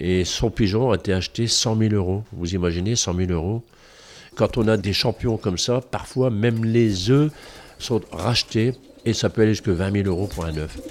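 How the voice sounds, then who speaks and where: An ordinary speaking voice moves at a moderate pace with ordinary pitch variation in a very clean recording with a silent background. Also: man, fairly low pitch for a man. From northern France. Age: 60s. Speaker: retired coal miner and museum guide. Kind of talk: interview testimony.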